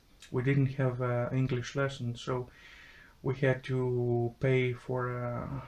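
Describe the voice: A man talks in a monotone, flat intonation at a medium pitch, with vocal fry.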